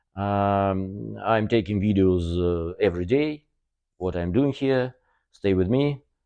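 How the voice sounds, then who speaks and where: A man with a Russian accent speaks at a very slow pace and a fairly low pitch, with ordinary pitch variation. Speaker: car body workshop owner. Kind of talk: workshop tour video. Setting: workshop. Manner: halting, many fillers.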